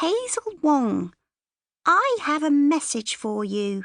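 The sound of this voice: A woman's put-on character voice, creaky and high-pitched, with very wide pitch swings at a very slow pace.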